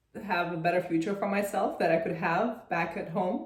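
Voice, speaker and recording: Audible room echo frames the speech. A woman talks at a fairly low pitch with fairly even intonation. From Russia. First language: Russian. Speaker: real estate investor. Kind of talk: interview.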